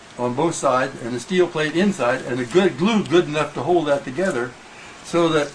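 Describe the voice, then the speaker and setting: With an American accent, a man talks at a moderate pace in a fairly high pitch with ordinary pitch variation, over noticeable background noise. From Illinois, US Midwest. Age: 80s+. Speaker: Model T restorer. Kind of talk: casual interview. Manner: halting.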